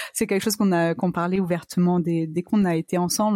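A woman has an ordinary speaking voice with a fairly low pitch and ordinary pitch variation. The sound is dry and close, with no echo. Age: 30s. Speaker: entrepreneur sharing fertility journey. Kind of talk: interview testimony.

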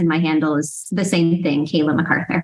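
A woman's plain, everyday voice with an American accent, fairly low in pitch, with fairly even intonation and a fairly quick pace. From US East Coast suburbs. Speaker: life coach and co-author. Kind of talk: casual interview chat.

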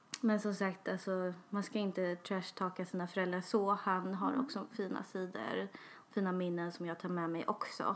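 Speaking at a moderate pace with fairly even intonation, a woman has a normal speaking voice at a medium pitch. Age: 20s. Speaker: podcast co-host. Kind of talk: casual chat.

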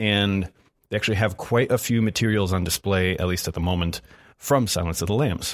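A plain, everyday voice: a man's fairly low, fairly quick speech with ordinary pitch variation on a very clean recording with a silent background. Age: 20s. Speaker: film podcast guest. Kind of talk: casual chat.

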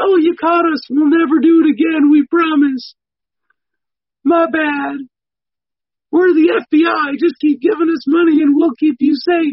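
A man does a put-on character voice at an extremely high pitch, with a whiny tone. He keeps a moderate pace with long, frequent pauses. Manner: mocking, whiny.

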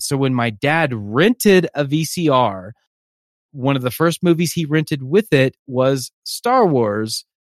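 A man's ordinary speaking voice, fairly high in pitch, fairly slow, with lively intonation and a dry, close sound free of echo. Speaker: podcast host, film fan. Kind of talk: casual chat.

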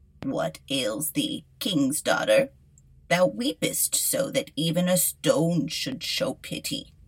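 Putting on a character voice, a woman speaks at a fairly slow pace with a medium pitch. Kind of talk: archaic fairy-tale dialogue. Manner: insistent, demanding.

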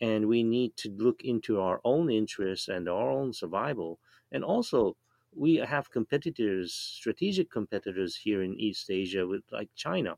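A man of medium pitch speaks with lively intonation at a moderate pace, the sound dry and close with no echo over a quiet background. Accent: Japanese. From Japan. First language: Japanese. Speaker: professor. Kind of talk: panel discussion.

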